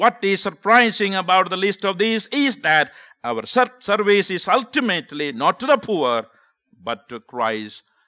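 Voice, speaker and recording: Raising and projecting his voice, a man with a high pitch and a bright, sharp tone speaks at a fairly slow pace with very wide pitch swings, in a dry, close sound with no echo and a quiet background. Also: big swings in loudness. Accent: Indian. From South India (Kerala). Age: 50s. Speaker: visiting preacher and missionary. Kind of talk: sermon. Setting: church.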